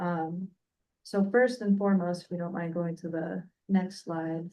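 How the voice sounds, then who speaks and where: Soft-spoken, a woman talks at a moderate pace. Her voice sits at medium pitch with monotone, flat intonation. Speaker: utility company representative. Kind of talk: presentation at public meeting. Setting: hybrid meeting room. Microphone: weak microphone, too quiet.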